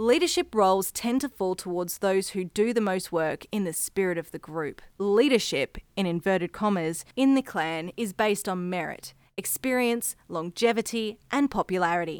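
With hardly any pauses, the speech runs at a moderate pace with ordinary pitch variation, dry and close with no echo, in a very clean recording over a silent background. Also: woman, medium pitch for a woman. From Australia, Brisbane, Queensland. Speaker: podcast host. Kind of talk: scripted narration.

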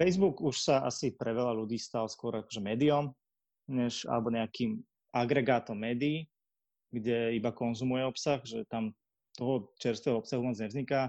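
In a dry, close recording with no echo and a quiet background, a man talks in a normal speaking voice at medium pitch, with ordinary pitch variation and a moderate pace. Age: 20s. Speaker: marketer and podcaster. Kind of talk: casual interview.

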